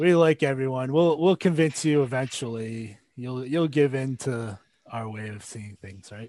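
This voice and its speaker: A man talks in a plain, everyday voice at a moderate pace. His pitch variation is ordinary, while his loudness swings widely. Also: medium pitch for a man. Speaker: podcast host. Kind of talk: casual chat.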